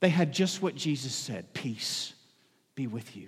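The pace is moderate as a man talks. His pitch swings very widely. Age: 40s. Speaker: pastor. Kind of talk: sermon. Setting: church.

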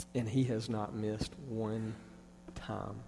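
There is audible room echo around this man's voice. His pitch is fairly low, his tone dark and mellow, and his intonation monotone and flat. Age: 30s. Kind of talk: testimony.

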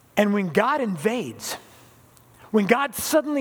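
Using lively intonation, a man with an American accent talks at a moderate pace in a high-pitched voice. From Southern California. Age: 60s. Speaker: pastor. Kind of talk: sermon.

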